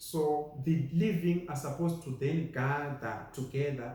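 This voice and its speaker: A man with a Zimbabwean accent, fairly high in pitch, dark and mellow in tone, somewhat breathy, with ordinary pitch variation and audible room echo. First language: Shona. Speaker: preacher. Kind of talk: sermon.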